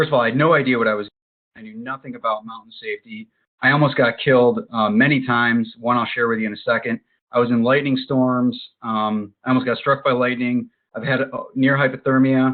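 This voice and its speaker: Delivered at a fairly quick pace, a man's medium-pitched voice, an unremarkable speaking voice, keeps fairly even intonation while showing big swings in loudness. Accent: American. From Western New York (Buffalo). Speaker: hiking instructor and meetup group founder. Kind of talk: webinar presentation. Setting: online webinar with screen sharing.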